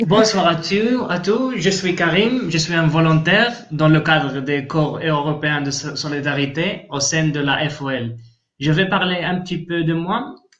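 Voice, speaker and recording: Speaking with a Spanish accent, a man talks at a very slow pace. Room echo is audible. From Spain, Andalusia (Malaga). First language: Spanish (speaking French). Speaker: volunteer. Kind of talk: interview. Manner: halting, repeats words.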